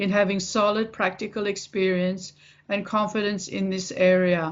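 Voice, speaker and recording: With an Australian accent, a woman speaks at a moderate pace and medium pitch, her intonation monotone and flat. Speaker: English teacher. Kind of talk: self-introduction read to camera.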